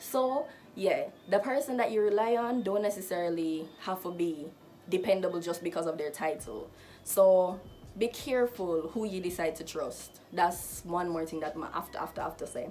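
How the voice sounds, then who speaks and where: A plain, everyday voice moves at a moderate pace. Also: woman, medium pitch for a woman, ordinary pitch variation. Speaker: lifestyle vlogger. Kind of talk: casual advice vlog.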